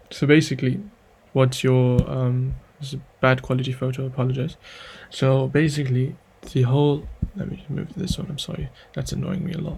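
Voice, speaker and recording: Long, frequent pauses break up a man's speech at medium pitch. His voice is somewhat breathy and his intonation fairly even. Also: big swings in loudness. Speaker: chemistry tutor. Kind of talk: tutorial. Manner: fast; halting.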